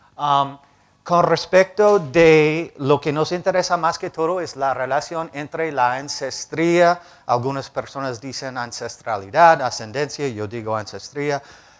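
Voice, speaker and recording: A man with a non-native accent speaks fairly slowly in a fairly high voice, with ordinary pitch variation. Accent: foreign accent in Spanish, learned in Cali. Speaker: professor, bioinformatics program director. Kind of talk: lecture. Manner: halting, with filler sounds.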